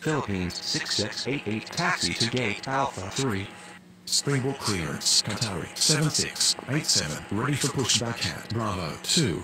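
Very slow, lively speech from a man at a medium pitch, with noticeable background noise. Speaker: gamer playing an air traffic control simulation. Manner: brisk and businesslike, formulaic greetings and clearances repeated with little pause.

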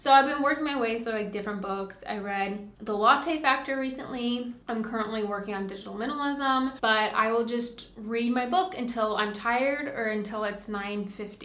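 A woman speaks at a fairly high pitch with ordinary pitch variation and hardly any pauses. Audible room echo surrounds her voice. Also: moderate pace. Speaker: lifestyle vlogger. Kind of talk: casual vlog monologue. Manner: chatty, relaxed. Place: home room.

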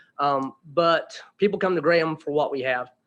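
Fairly even intonation marks this man's speech in an Appalachian accent. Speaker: resident speaking at public hearing. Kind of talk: public comment. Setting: council meeting. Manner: halting.

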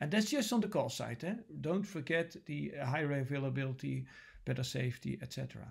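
The background is quiet. A man with a Dutch accent talks at a moderate pace. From Netherlands. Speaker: lecturer; university lecturer. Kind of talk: lecture. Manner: hesitant, many filler sounds. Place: home room. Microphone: webcam.

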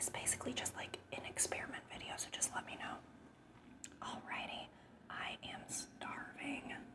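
A woman whispers at a moderate pace. Her tone is soothing. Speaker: ASMR eating creator. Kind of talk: casual talk to camera. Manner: whispered, soothing. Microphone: lapel.

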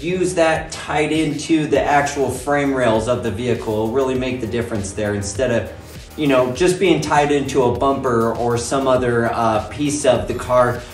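A man talks with hardly any pauses amid audible room echo and faint music in the background. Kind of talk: casual build vlog explanation. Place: garage. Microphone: phone near.

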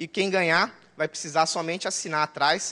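This man has a fairly high pitch and a bright, sharp tone, keeping his intonation fairly even at a moderate pace. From Brazil, Governador Valadares, Minas Gerais; Minas Gerais, Brazil. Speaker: database consultant and conference speaker; conference presenter. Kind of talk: technical conference talk. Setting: conference room with audience. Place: hall.

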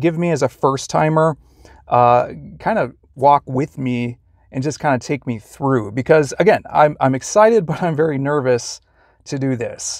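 The speech moves at a moderate pace with ordinary pitch variation, a quiet background, and a dry sound with no echo. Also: man. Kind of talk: casual vlog chat. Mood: excited and nervous. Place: car. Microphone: lapel.

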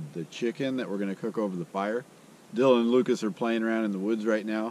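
A man speaks with ordinary pitch variation in a dry, echo-free recording with light background noise. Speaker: outdoor video host. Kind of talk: casual vlog chat. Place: forest.

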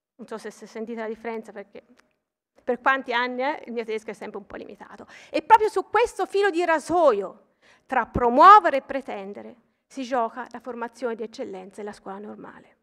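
In a Tuscan accent, a woman talks fairly quickly at a high pitch with lively intonation and big swings in loudness. Her tone is bright and sharp against a quiet background. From Tuscany, Pistoia; Tuscany. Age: 40s. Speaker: mathematics professor and university vice president; mathematics professor. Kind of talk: ceremonial speech. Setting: stage with audience. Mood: warm, formal, slightly personal. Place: hall. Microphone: podium.

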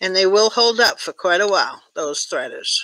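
A woman's voice sounds dry, with no echo and light background noise. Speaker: tatting teacher. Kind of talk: online class. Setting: video call.

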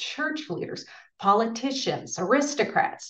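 A woman at a moderate pace over a quiet background. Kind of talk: lecture. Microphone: webcam.

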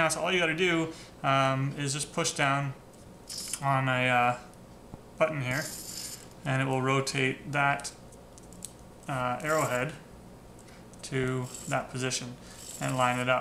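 Light background noise accompanies a fairly slow pace, long, frequent pauses and monotone, flat intonation. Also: man, medium pitch for a man. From Canada. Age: 20s. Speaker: teacher and maker. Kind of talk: casual talk to camera, TV host audition.

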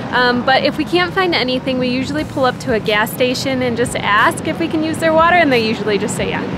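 Noticeable background noise sits behind a woman speaking in a dry sound with no echo. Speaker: travel vlogger. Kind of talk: casual vlog chat. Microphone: phone near.

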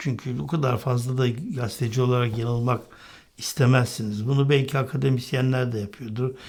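The recording is very clean with a silent background. A man with a medium pitch speaks at a moderate pace, somewhat breathy, with fairly even intonation. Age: 60s. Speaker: political commentator. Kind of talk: political commentary monologue.

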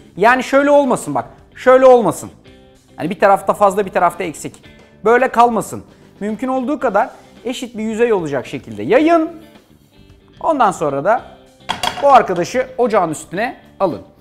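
Faint music plays in the background as a man speaks at a moderate pace. His pitch is high, and he takes long, frequent pauses. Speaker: TV cooking show host. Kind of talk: cooking tutorial. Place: studio. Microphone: lapel.

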